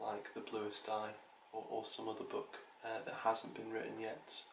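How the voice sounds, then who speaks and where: A man talks in a room with audible echo, and noticeable noise sits in the background. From outside the US. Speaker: book vlogger. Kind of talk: casual video monologue. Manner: halting, many fillers.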